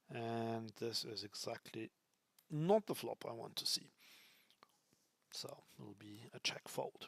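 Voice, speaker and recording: A man with a German accent speaks very slowly, with big swings in loudness and long, frequent pauses. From Germany. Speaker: poker streamer. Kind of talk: live commentary. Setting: live stream. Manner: casual, thinking aloud with hesitations.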